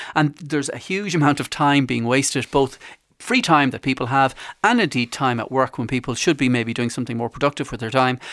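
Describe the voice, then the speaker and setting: A man speaks in an Irish accent at a fairly quick pace. His pitch is medium, with ordinary pitch variation. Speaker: consumer journalist. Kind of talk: radio interview.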